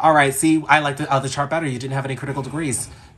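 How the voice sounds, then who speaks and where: A man with an American accent, at a very fast pace. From US, New York. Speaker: astrologer. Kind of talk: live-stream astrology reading. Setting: live stream. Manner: casual, chatty.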